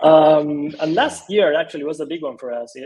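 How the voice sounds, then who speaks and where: This man speaks with an Argentine accent at a moderate pace. His pitch is fairly high. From Argentina. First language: Spanish. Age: 30s. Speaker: design studio co-founder. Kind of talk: interview.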